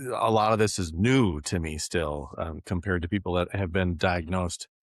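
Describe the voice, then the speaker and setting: Against a quiet background, a man with a very deep, low pitch talks at a fairly slow pace with ordinary pitch variation, the sound dry and close with no echo. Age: 50s. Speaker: patient guest. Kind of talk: podcast interview. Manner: halting, many fillers.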